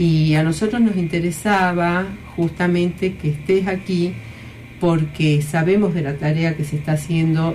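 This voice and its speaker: A woman speaks at a fairly low pitch and a fairly slow pace with fairly even intonation. Audible room echo and noticeable background noise fill the recording. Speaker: radio host, former education minister. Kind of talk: radio talk show. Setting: radio studio.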